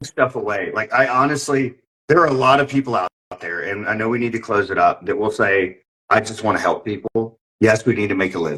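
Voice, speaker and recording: A man with a North Carolina accent, medium pitch, ordinary pitch variation and a fairly quick pace. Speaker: podcast host. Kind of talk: casual chat. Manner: animated.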